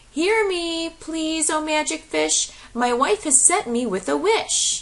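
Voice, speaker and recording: In a put-on character voice, a woman squeaks at an extremely high pitch and a fairly slow pace. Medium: read story. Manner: meek, hesitant.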